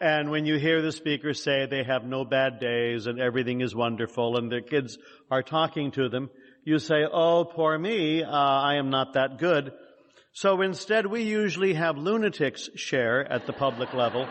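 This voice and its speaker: With an American accent, a man talks at a moderate pace in a fairly high voice with ordinary pitch variation. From California (San Jose). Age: 60s. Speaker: recovery meeting speaker. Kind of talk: recovery testimony talk. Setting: meeting with audience. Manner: hesitant, many fillers.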